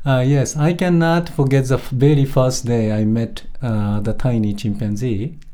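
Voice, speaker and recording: A man with a Japanese accent speaks at a medium pitch with a dark, mellow tone. His pace is fairly slow, with ordinary pitch variation and hardly any pauses. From Japan, Tokyo area. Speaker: primatologist. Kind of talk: interview. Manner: halting.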